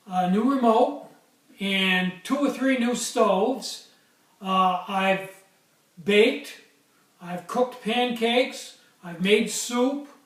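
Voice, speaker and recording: A high-pitched man speaks at a very slow pace with long, frequent pauses, and audible room echo fills the recording. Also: ordinary pitch variation. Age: 60s. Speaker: small craftsman, stove maker. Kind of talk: casual vlog. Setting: workshop. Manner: hesitant, many fillers.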